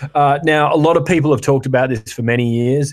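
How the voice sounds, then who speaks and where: A man with an American accent, fairly quick pace and fairly even intonation. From Western Australia, Perth. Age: 30s. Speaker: podcast co-host. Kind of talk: casual chat.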